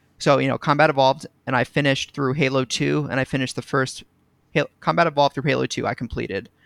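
A man with vocal fry speaks at a very fast pace in a medium pitch, recorded dry and close with no echo and very cleanly against a silent background. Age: 20s. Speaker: gaming community member, college student. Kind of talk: casual chat. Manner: animated.

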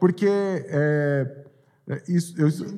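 His tone dark and mellow, a man speaks with lively intonation. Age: 30s. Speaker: youth pastor. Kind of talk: testimony. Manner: halting.

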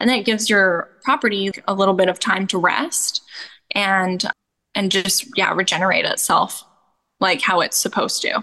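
A woman speaks at a moderate pace with a bright, sharp tone, ordinary pitch variation and very even loudness. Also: medium pitch for a woman. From Canada. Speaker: goat milk soap maker and rancher. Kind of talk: interview.

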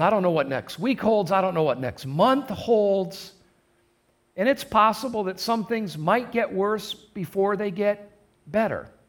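Speaking fairly slowly, a man with a Midwestern American accent talks at a high pitch. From US Midwest, southern Michigan. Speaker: pastor. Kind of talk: sermon. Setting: recorded in a church for online service.

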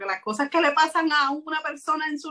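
A woman with a raised, projected voice speaks high in pitch at a fairly quick pace, her tone bright and sharp. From Puerto Rico. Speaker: writer and self-publisher. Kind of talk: interview. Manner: hesitant with frequent fillers.

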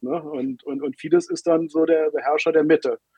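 A man's fairly high-pitched, ordinary speaking voice with fairly even intonation. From Germany, Berlin. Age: 50s. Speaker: newspaper editor. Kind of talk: interview.

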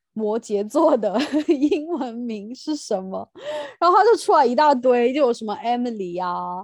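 Over a quiet background, a woman talks at a moderate pace in a high voice with very wide pitch swings. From mainland China. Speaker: podcast host, teacher. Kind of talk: casual chat.

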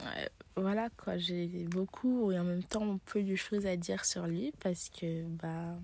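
A woman speaks at a very slow pace in a fairly low pitch. Her tone is dark and mellow, with ordinary pitch variation. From Paris, France. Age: 20s. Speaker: journalism student. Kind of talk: personal monologue. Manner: hesitant.

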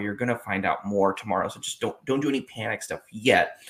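With an ordinary speaking voice, a man talks at a medium pitch and a fairly quick pace, his intonation lively. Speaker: fantasy football co-host, doctor. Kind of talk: casual sports chat.

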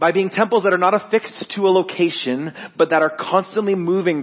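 A man with a Canadian accent at a fairly quick pace, ordinary pitch variation, and noticeable background noise. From Ontario, Canada (Guelph). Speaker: worship director. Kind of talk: interview and sermon. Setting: church.

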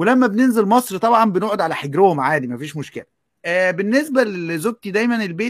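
A man's lively intonation at a moderate pace, in a dry, close sound with no echo. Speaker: online educator and writer. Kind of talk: casual panel discussion.

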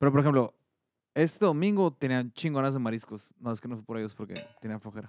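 Very fast speech from a man, medium in pitch, with lively intonation and a dry, close sound with no echo. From Mexico. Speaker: accountant and sports pundit. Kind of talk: casual sports talk show. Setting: studio.

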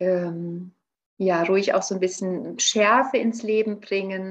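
A woman with an unremarkable speaking voice, medium pitch, and fairly even intonation. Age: 40s. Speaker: naturopath and nutrition coach. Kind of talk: interview.

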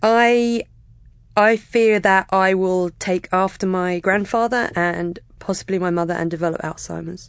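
A woman speaks at a fairly slow pace in a southern English accent. Her pitch is medium. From England, near London (Kingston). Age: 30s. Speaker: podcast listener and podcaster. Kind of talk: personal interview about mental health. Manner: pauses and stammers, talks a lot.

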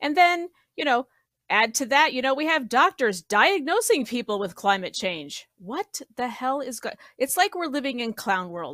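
In an American accent, a woman speaks at a moderate pace with an animated tone, a high pitch and very wide pitch swings. Her bright, sharp tone comes through a very clean recording with a silent background and a dry, close sound with no echo. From Colorado. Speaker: political podcast panelist. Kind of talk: casual political discussion.

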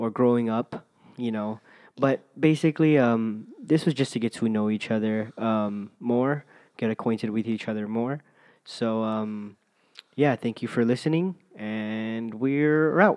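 At a fairly slow pace, a man talks with an unremarkable speaking voice at a medium pitch and ordinary pitch variation over a quiet background. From US mainland. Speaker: podcast host. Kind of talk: casual chat.

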